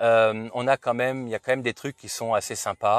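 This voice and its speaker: Fairly slow speech with fairly even intonation and a dry sound with no echo. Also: man, quiet background. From French-speaking Switzerland. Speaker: car reviewer YouTuber. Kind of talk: car review vlog. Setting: at a car dealership and in a car. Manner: hesitant, many fillers. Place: car. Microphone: phone near.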